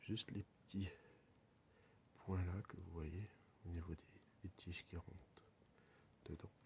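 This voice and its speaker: A soft-spoken man with a very deep, low pitch talks at a very slow pace with long, frequent pauses. His intonation is fairly even and his voice somewhat breathy. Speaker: DIY hobbyist restoring a clock. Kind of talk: casual tutorial voiceover. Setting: at home. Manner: halting, many hesitations.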